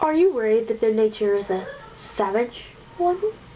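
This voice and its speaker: A woman uses a put-on character voice at a fairly high pitch and a moderate pace, with clear background noise behind her. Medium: read story. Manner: cold, dismissive.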